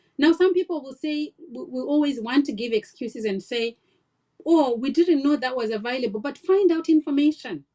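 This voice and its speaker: A woman with a non-native accent speaks at a high pitch in a dark, mellow tone, her intonation lively. Her loudness swings widely, and the sound is dry and close with no echo. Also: moderate pace. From Africa. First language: not English. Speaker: nurse and health-tech founder. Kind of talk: podcast interview, personal story.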